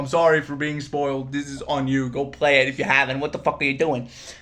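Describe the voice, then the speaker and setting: A man talking over music in the background. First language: not English. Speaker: gaming YouTuber. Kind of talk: casual gaming commentary. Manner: animated; halting.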